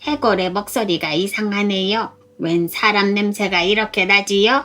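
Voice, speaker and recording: In a put-on character voice, a female-sounding speaker talks at a moderate pace and a medium pitch. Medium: read story. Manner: polite, suspicious.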